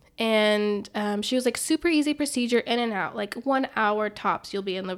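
A woman's plain, everyday voice, fairly high in pitch with ordinary pitch variation and a fairly quick pace, on a very clean recording with a silent background. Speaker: podcast co-host. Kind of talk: casual chat, telling personal story.

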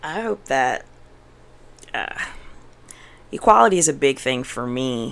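A fairly slow pace broken by long, frequent pauses. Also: woman, very deep, low pitch for a woman. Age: 20s. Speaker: podcast guest, mother. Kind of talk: casual interview chat.

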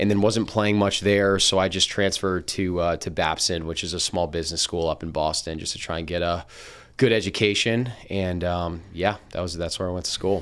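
On a very clean recording with a silent background, a man with an American accent talks fairly quickly in a very deep, low voice with fairly even intonation. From New Jersey, Princeton. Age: 20s. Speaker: food company founder and podcast co-host. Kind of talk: casual interview chat.

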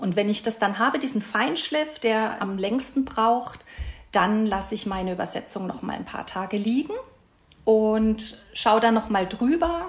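Slow-ish and fairly high in pitch, this woman has a normal speaking voice. Her pitch varies in an ordinary way. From Karlsruhe, Baden, southwestern Germany. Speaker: translator. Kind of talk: podcast interview.

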